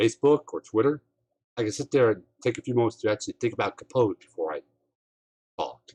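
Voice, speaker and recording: At a very fast pace, a somewhat breathy man speaks at a medium pitch with ordinary pitch variation. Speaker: live streamer. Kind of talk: casual live-stream monologue. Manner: halting, slurred; ranting.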